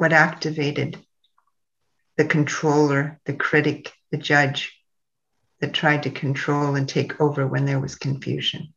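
A woman speaks fairly slowly in a very deep, low voice with vocal fry and a soothing tone. Her intonation is flat and monotone, with long, frequent pauses. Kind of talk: guided meditation and ritual, leading listeners through the grief wheel. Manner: slow, soothing and meditative, with long pauses and repeated phrases; reverent, incantatory and warm, addressing listeners directly as a guide.

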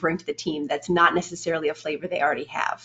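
Her pitch fairly low and her intonation monotone and flat, a woman with a Canadian accent speaks at a fairly quick pace in a somewhat breathy voice. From Canada, Edmonton, Alberta. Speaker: game animator. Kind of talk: interview.

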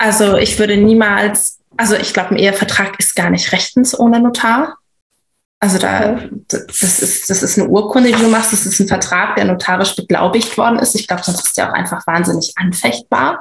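A woman speaks in a normal speaking voice at a medium pitch, with ordinary pitch variation. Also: moderate pace. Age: 30s. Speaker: stepmother sharing personal experience. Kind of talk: casual interview.

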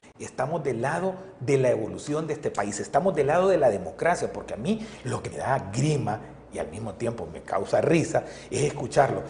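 With an animated tone and lively intonation, a man speaks at a moderate pace and a fairly high pitch over noticeable background noise. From El Salvador. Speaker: politician. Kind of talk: interview. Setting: studio.

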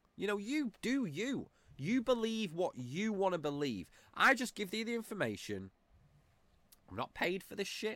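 A man speaks in an animated tone with a bright, sharp quality, his high pitch making very wide swings. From England. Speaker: political commentary podcaster. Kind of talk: rant.

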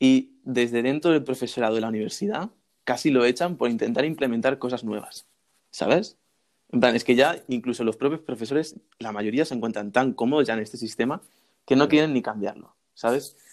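At a fairly quick pace, a man with a normal speaking voice talks at a medium pitch with ordinary pitch variation. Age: 20s. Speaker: university student and YouTuber. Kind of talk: interview.

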